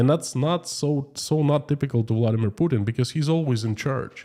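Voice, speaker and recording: The voice comes with a Russian accent on a very clean recording with a silent background. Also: man. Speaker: YouTube streamer. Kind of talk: live stream chat reading. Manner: slow, choosing words carefully.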